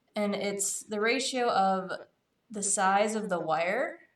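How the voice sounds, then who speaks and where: A woman with a medium-pitched voice talks very slowly, with audible echo in the room. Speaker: streamer crafting chainmail. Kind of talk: casual live-stream tutorial.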